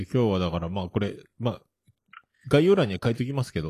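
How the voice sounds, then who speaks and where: At a very fast pace, a man speaks with a fairly low pitch and very wide pitch swings. His voice is somewhat breathy. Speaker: podcast host. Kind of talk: casual chat.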